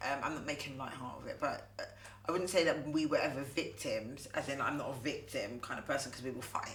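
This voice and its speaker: A woman speaks with audible room echo. Background noise is noticeable. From Southampton, southern England. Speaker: actress. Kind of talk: casual chat.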